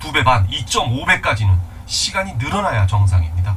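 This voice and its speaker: There is audible echo from the room. The man's intonation is lively. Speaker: Korean literature teacher. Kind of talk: lecture. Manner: fast; animated.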